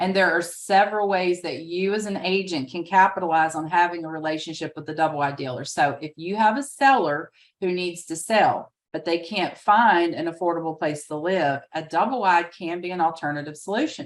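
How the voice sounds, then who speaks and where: With a Southern US accent, a woman speaks at a fairly quick pace and a fairly low pitch. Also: ordinary pitch variation, hardly any pauses. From US South. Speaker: real estate trainer. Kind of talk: webinar training presentation. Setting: video call with screen sharing.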